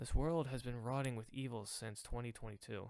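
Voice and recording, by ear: Someone reads aloud in a natural voice, the pitch shifting in an ordinary way.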